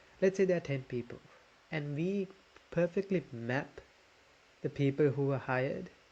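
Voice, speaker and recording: Somewhat breathy and dark, mellow in tone, a man speaks at a moderate pace. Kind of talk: casual commentary reacting to videos.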